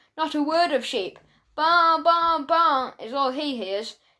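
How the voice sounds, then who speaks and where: A woman adopts a put-on character voice, pitched high and delivered at a fairly slow pace. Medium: read story. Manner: agreeable, simple.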